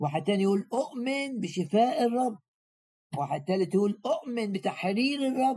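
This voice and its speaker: A man with an Egyptian accent speaks high for a man, in a dark, mellow tone. His pitch swings very widely while his loudness stays very even. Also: moderate pace. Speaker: preacher. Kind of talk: sermon.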